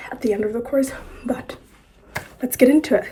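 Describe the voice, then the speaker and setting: High-pitched woman's voice over noticeable background noise. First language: not English; English is her third language. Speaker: poet and writer, video course host. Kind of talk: casual tutorial talk to camera.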